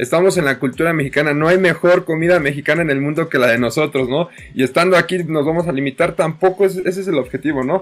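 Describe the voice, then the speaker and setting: The speaker goes at a very fast pace with hardly any pauses and ordinary pitch variation. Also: man, fairly high pitch for a man. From Mexico. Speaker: nutritionist and high school teacher. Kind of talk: panel discussion. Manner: halting, many repetitions.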